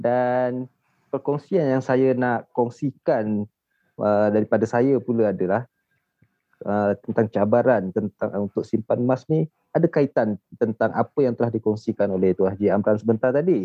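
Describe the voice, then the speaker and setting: Moderate-paced talk from a man in a normal speaking voice, medium pitch, ordinary pitch variation. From Malaysia, Shah Alam, Selangor. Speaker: gold saver. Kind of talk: casual chat.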